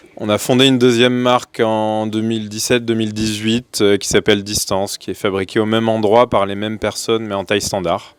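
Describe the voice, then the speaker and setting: A man speaks in a monotone, flat delivery with fairly low pitch. His pace is fairly quick, with hardly any pauses. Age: 40s. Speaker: bicycle company founder. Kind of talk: panel discussion.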